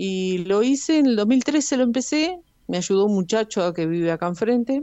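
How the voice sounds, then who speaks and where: This woman's fairly high voice moves at a moderate pace with very wide pitch swings. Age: 70s. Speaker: restaurant owner. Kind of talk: interview.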